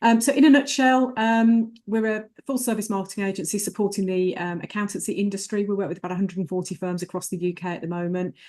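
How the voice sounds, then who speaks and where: In an English Midlands accent, a woman at medium pitch talks at a very fast pace with ordinary pitch variation over a quiet background. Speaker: marketing agency director. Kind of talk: webinar presentation. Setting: online webinar.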